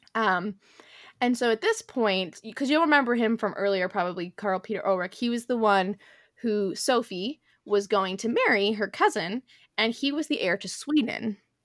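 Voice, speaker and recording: A woman speaks at a fairly high pitch with ordinary pitch variation. Hers is a plain, everyday voice. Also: moderate pace, very clean recording, silent background. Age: 20s. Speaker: podcast host. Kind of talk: casual chat. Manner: casual with frequent fillers.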